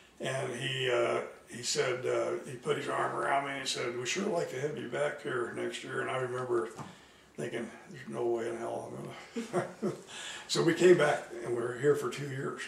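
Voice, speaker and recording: Speaking at a moderate pace, a man talks with an American accent. Light background noise and audible room echo are present. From Simla, Colorado; Colorado. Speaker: retired teacher and principal; retired teacher. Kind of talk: oral history interview answer. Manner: storytelling, hesitant with fillers. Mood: relaxed, amused storytelling. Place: home room. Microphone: camera far.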